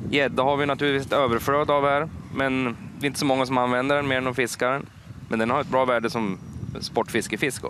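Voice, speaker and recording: Over noticeable background noise, a man talks at a very fast pace in monotone, flat intonation, with a dry sound and no echo. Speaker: fisherman and fish restaurant owner. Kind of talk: TV interview. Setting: outdoors. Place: waterside. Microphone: headset.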